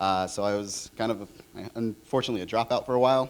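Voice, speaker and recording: A fairly quick pace with ordinary pitch variation in a Californian accent. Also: man. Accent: Californian American. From Orange County, California. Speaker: designer. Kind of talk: conference panel talk.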